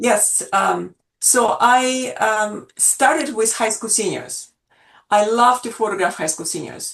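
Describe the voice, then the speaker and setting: The woman's pitch is fairly high, with ordinary variation. She speaks at a very slow pace. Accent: Russian. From Russia. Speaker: portrait photographer. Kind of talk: interview. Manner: halting, many fillers.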